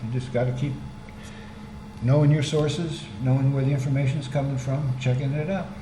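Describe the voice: With audible room echo, a man talks at a moderate pace and medium pitch with fairly even intonation.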